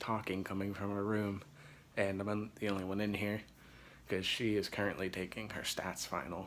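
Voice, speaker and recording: Quiet and monotone, a man speaks with an American accent and flat intonation. His pitch is fairly low, and his pace is moderate. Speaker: gaming vlogger. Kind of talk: casual vlog. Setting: dorm room. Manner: quiet, hushed.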